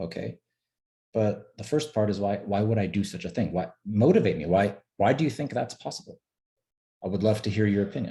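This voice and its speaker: At a moderate pace, the pitch varies in an ordinary way. The voice is dark and mellow in tone, with some breathiness. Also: man. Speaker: webinar presenter on stock trading. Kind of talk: webinar presentation. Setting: online webinar.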